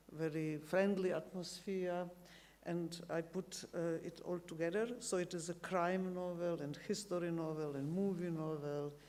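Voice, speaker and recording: With a South Slavic accent, the speaker goes at a fairly slow pace and fairly even intonation, amid noticeable background noise and audible room echo. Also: woman, fairly low pitch for a woman. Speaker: novelist. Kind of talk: interview on stage. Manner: halting.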